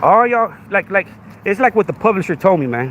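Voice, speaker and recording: A man's high-pitched, animated voice at a fairly quick pace, with very wide pitch swings and noticeable background noise. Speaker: podcast host. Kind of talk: livestream rant. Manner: repetitive filler, halting.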